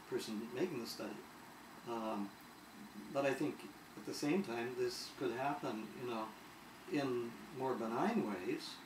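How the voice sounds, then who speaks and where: Fairly slow speech with long, frequent pauses, audible room echo and noticeable background noise. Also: man, medium pitch for a man, ordinary pitch variation. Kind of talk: conversational interview. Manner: halting, many fillers and repetitions.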